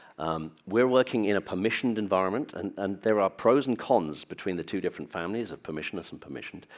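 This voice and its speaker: A man talks at a very fast pace with lively intonation and a fairly low pitch. The recording is very clean, with a silent background. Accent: British. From Britain. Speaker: business executive. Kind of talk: conference talk. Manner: hesitant with fillers.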